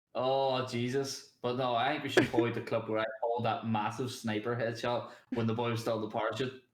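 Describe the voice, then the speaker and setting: A strong Irish accent at a fairly quick pace, monotone and flat, with hardly any pauses and audible room echo. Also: man, medium pitch for a man. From Northern Ireland, near the border. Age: 20s. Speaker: streamer. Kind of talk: casual chat.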